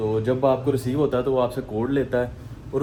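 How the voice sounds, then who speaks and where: A man's medium-pitched voice, with fairly even intonation, is heard against noticeable background noise. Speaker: fitness vlogger. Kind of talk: casual vlog.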